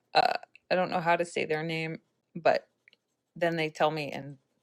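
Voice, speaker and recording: A woman with a Californian accent at a moderate pace, in a very clean recording with a silent background. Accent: California. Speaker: coloring book author and illustrator. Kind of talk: live-stream coloring tutorial. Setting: live video stream. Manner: casual, unscripted.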